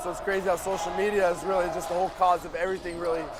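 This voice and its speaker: Amid noticeable background noise and audible room echo, a man with an American accent talks very fast in a high pitch. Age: young (18). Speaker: basketball player. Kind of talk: casual interview. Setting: live event courtside with loud crowd.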